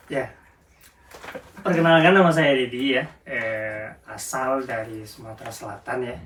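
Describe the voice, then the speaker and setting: A man with a medium-pitched voice speaks amid noticeable background noise and audible room echo, his loudness swinging widely and his pauses long and frequent. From South Sumatra, Indonesia (Lubuk Linggau). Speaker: care worker. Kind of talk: interview. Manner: halting.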